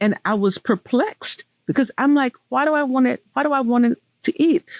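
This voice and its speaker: With a Southern US accent, a woman speaks at a moderate pace in a high voice at very even loudness, the sound dry and close with no echo. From US South. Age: 60s. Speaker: weight loss speaker. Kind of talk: interview testimony.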